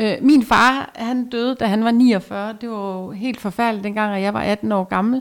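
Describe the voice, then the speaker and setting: With an unremarkable speaking voice, a woman talks at a fairly slow pace in a fairly high pitch, keeping her intonation fairly even and hardly pausing, on a very clean recording with a silent background. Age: 50s. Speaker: clothing stylist. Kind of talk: casual chat. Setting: at home.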